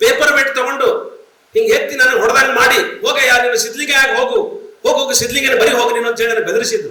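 A man's raised, projected voice reaches an extremely high pitch with very wide pitch swings yet very even loudness, amid noticeable background noise and audible room echo. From North Karnataka, Vijayapura (Bijapur) district. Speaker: writer and professor. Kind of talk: keynote speech. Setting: stage with audience.

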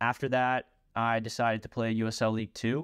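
With an American accent and a normal speaking voice, a man talks at a moderate pace and medium pitch, the sound dry and close with no echo in a very clean recording over a silent background. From Kentucky, US. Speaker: professional soccer player. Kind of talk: personal story monologue.

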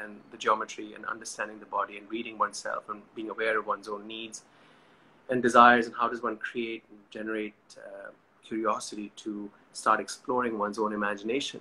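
A man talks at a fairly quick pace in a bright, sharp tone with monotone, flat intonation. Light background noise runs underneath. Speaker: session host. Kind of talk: casual talk introducing a live chat. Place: home room. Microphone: phone near.

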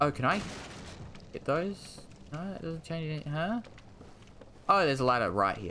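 A man with a fairly high voice speaks at a moderate pace, his pitch swinging very widely and his loudness rising and falling sharply. Long pauses come often, with light noise in the background. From Australia. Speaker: gaming streamer. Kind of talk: live gameplay commentary. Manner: animated.

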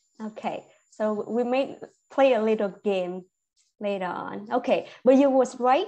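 A woman with a Vietnamese accent, fairly high pitch, ordinary pitch variation and a very slow pace, against a quiet background. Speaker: medical English teacher. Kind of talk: online class. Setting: video call. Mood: friendly, informal. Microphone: video call.

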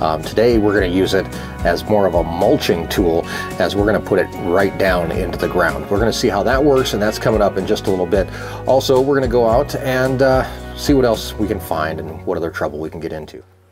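Music plays clearly in the background. A man with a very deep, low pitch talks at a fairly quick pace. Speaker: farmer vlogger. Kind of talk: casual vlog chat. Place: garage. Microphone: phone near.

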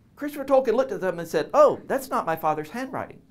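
This man's pitch swings very widely as he talks. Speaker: guest. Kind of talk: lecture. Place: classroom. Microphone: lapel.

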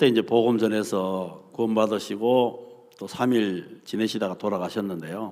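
With hardly any pauses, a man speaks at a fairly slow pace in a dark, mellow tone, fairly low in pitch with ordinary variation, against a quiet background. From South Korea. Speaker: preacher. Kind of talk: sermon. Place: hall. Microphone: podium.

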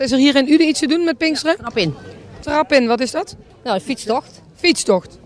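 The speech moves at a fairly quick pace, with noticeable background noise throughout. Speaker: street interviewer host. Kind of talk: casual street interview. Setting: outdoors at a market.

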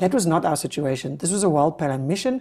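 A woman's dark, mellow tone carries lively intonation. The background is quiet. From South Africa. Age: 40s. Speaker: activist, flotilla delegate. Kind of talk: interview. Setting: studio. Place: studio. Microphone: lapel.

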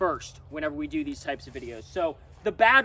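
A man speaks with lively intonation and a bright, sharp tone. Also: dry sound with no echo. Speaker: truck owner reviewer. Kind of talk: casual vlog chat. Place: forest. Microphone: phone near.

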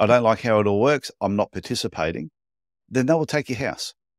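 On a very clean recording with a silent background and a dry, close sound with no echo, a man speaks fairly quickly at a fairly low pitch with lively intonation.

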